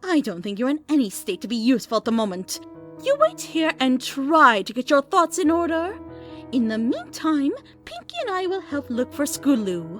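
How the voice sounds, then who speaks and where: With clear music in the background, a female-sounding voice performs a put-on character voice at a high pitch and moderate pace. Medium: read story. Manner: refined, proper.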